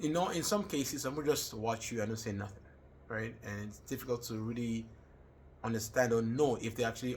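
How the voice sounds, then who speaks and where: A man talks in a Nigerian accent at a fairly quick pace. His intonation is fairly even and his voice somewhat breathy. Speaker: student. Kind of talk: personal reflection monologue. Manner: hesitant with fillers.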